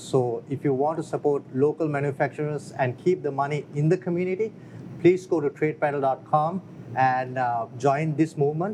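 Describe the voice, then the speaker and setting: With a non-native accent, a man speaks at a moderate pace, with fairly even intonation and a fairly high pitch. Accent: foreign. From outside the US. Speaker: business founder. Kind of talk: interview. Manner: halting.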